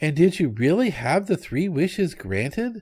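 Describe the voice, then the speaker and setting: In a put-on character voice with very wide pitch swings, a man talks high for a male voice at a moderate pace. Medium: read story. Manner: polite.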